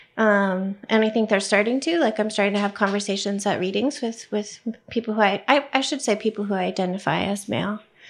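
A woman with a medium pitch uses an ordinary speaking voice. She shows ordinary pitch variation and hardly any pauses. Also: fairly quick pace. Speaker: novelist. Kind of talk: live panel discussion. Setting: stage with audience.

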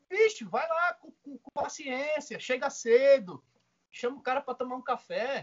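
A man's extremely high-pitched voice at a moderate pace. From Northeast Brazil, Maceió, Alagoas. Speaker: cattle rancher and agribusiness mentor. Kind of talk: casual interview chat.

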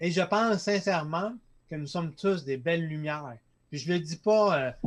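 This man talks at a fairly slow pace with a high pitch. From Quebec, Lac-Saint-Jean. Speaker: entrepreneur, company founder. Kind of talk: casual interview. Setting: studio, live streamed.

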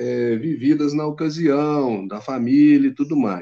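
A man's voice with a dark, mellow tone. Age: 60s. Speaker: traveler. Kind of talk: casual interview.

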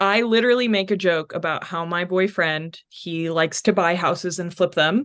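Speaking at a fairly slow pace with ordinary pitch variation, a woman with an American accent has an unremarkable speaking voice. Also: quiet background. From North Texas. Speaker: life coach. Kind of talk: casual chat.

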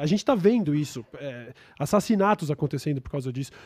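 Very fast and with very wide pitch swings, a man speaks in a dark, mellow tone on a very clean recording with a silent background. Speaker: internet show host. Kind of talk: casual interview.

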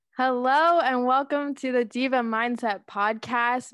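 A woman with a Canadian accent speaks at a fairly slow pace in an unremarkable speaking voice. Her pitch varies in an ordinary way over a quiet background. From Canada, Guelph, Ontario. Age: 20s. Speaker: podcast host. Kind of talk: casual chat.

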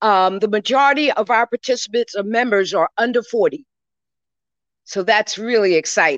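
A woman with an American accent and an unremarkable speaking voice talks at a fairly quick pace, her fairly high pitch carrying lively intonation. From New York (Brooklyn). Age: 60s. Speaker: guest, Caribbean heritage organization leader. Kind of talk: interview. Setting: event at a public library.

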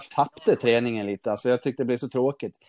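A man speaks at medium pitch with ordinary pitch variation. The sound is dry and close with no echo, on a very clean recording with a silent background. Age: 30s. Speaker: calisthenics athlete. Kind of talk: interview. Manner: halting.

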